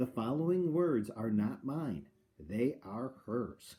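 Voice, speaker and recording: A man puts on a booming character voice at medium pitch. His delivery comes at a fairly slow pace. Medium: read story. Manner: loud, booming.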